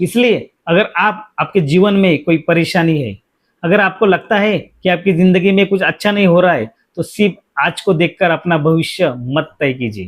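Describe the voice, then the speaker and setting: This man's voice sits high. Its pitch moves in a typical way. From India, Mumbai. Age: 40s. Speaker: safety educator and career guide. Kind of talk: personal reflective monologue. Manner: earnest, motivational.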